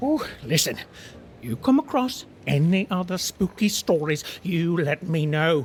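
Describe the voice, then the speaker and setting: The speaker uses a put-on character voice at a middle pitch. The pace is fairly slow. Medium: video game. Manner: enthusiastic, chatty.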